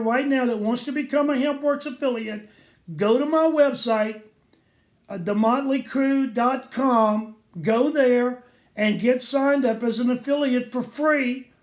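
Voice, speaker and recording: An animated man's extremely high voice, at a fairly slow pace with ordinary pitch variation. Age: 60s. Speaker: network marketing distributor. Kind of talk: sales pitch.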